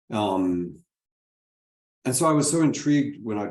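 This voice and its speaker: A man with an American accent talks at a moderate pace. His pitch swings very widely, and the room echo is audible. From Texas. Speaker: moderator. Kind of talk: panel discussion.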